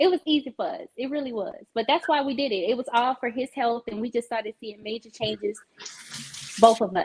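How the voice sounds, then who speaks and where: A woman speaks at a fairly quick pace in a high pitch. The sound is dry and close, with no echo. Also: ordinary pitch variation. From Louisiana, New Iberia. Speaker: vegan influencer and cookbook author. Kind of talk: casual chat. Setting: video call from own kitchen.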